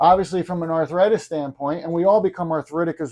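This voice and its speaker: At a fairly quick pace, a man with a plain, everyday voice talks at a fairly high pitch. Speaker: chiropractor. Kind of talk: podcast interviewer.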